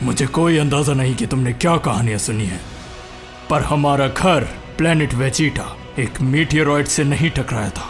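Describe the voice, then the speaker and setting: Over clear background music, a man does a put-on character voice at a fairly high pitch and a moderate pace. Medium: dub. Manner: arrogant, intense.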